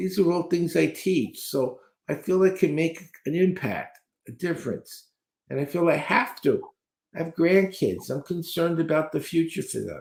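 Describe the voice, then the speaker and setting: A man's high-pitched voice, with ordinary pitch variation, unfolds at a moderate pace. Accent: American. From New York City (Brooklyn). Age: 70s. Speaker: speed reading trainer. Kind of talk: interview.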